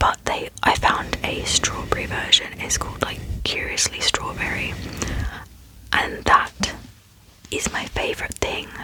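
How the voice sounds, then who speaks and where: With noticeable background noise around her, a woman whispers at a fairly slow pace, leaving long, frequent pauses. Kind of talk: ASMR Q&A, casual talk to camera. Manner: soft-spoken, friendly, chatty.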